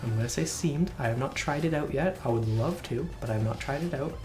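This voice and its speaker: An enthusiastic tone comes through over music in the background. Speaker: gaming video creator. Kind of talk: casual talk to camera.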